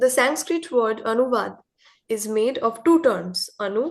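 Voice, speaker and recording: At a fairly slow pace, a woman with a Bengali accent speaks in a fairly high pitch. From India. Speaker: contributor to a literary magazine. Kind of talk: reading aloud of an essay.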